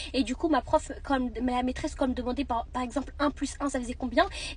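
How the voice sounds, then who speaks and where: A woman at a high pitch and a fairly quick pace. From France, partly raised in Marrakech. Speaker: vlogger. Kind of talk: storytelling. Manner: casual, halting.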